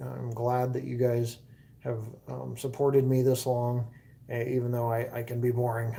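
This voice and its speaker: The delivery moves at a moderate pace with monotone, flat intonation. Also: man. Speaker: video creator. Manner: monotone, low energy.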